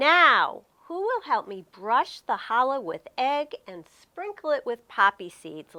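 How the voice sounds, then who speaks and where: A put-on character voice, female-sounding and high-pitched, is raised and projected, moving at a fairly slow pace with very wide pitch swings. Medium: read story. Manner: warm, patient.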